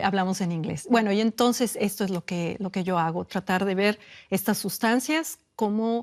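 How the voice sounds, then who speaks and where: A woman talks at a moderate pace in a medium pitch with ordinary pitch variation. The background is quiet. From Mexico. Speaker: neurobiologist. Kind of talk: interview answer.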